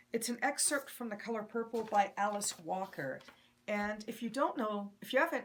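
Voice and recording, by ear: A natural voice reading aloud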